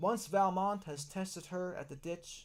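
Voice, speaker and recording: Soft-spoken, a man talks at a moderate pace. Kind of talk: ASMR book reading.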